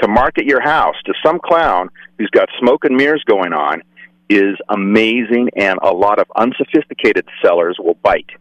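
Dry, close sound with no echo, from a man with an American accent at a moderate pace. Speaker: caller. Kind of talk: call-in comment. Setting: phone call.

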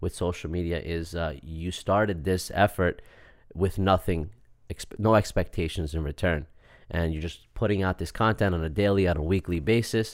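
In a New York accent, a man with a very deep, low pitch talks at a moderate pace with fairly even intonation, recorded very cleanly against a silent background. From Long Island, New York. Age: 30s. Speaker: real estate entrepreneur. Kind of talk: casual interview chat. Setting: studio.

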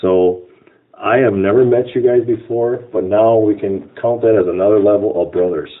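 Someone speaks with an American accent in an unremarkable speaking voice. Delivery is moderate in pace, with fairly even intonation. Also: man, fairly low pitch for a man. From Wisconsin Rapids, Wisconsin. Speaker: freemason, lodge officer. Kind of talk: interview.

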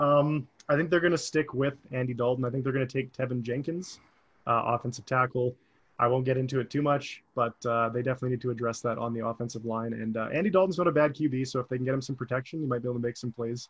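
A man's medium-pitched voice, somewhat breathy, at a very fast pace with fairly even intonation. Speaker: sports podcast host. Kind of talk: casual chat.

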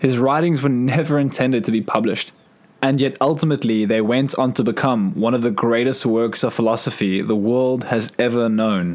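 A man has an unremarkable speaking voice at a medium pitch, with ordinary pitch variation. He moves at a fairly quick pace with very even loudness. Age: 20s. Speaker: podcast host. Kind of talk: reflective monologue.

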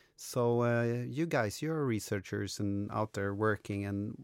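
Recorded very cleanly against a silent background, a man with a Swedish accent sounds dry and close with no echo. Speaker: podcast host, coach. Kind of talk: casual interview chat.

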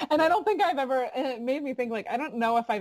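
Speaking very fast with an American accent, a woman is heard in a dry, close recording with no echo and noticeable background noise. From Florida. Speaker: bluegrass singer. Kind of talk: casual interview chat.

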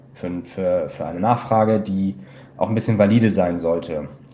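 A man speaks in a normal speaking voice. It is fairly low, with ordinary pitch variation. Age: 20s. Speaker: investment company client advisor. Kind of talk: interview.

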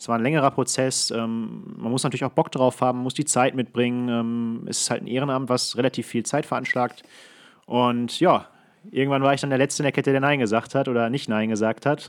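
The man has an ordinary speaking voice, medium in pitch with ordinary pitch variation, and he talks at a fairly quick pace. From Ruhr area, Germany (Datteln). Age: 20s. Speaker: hockey referee. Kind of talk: casual chat. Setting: video call.

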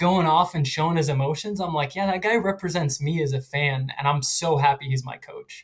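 Using a normal speaking voice, a man with a fairly high pitch talks at a fairly quick pace with ordinary pitch variation and hardly any pauses. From Philadelphia. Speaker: football fan. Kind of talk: casual chat.

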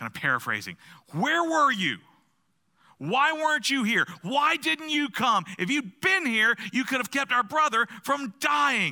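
Raising and projecting his voice, a man with an extremely high pitch and a bright, sharp tone speaks fairly slowly with lively intonation. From US South. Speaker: pastor. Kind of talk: sermon. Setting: church.

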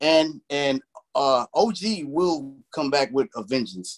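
A man talks with a fairly high pitch and ordinary pitch variation. The sound is dry and close, with no echo. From Chicago, US Midwest. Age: 40s. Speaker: nerdcore rapper. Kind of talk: casual interview. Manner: animated.

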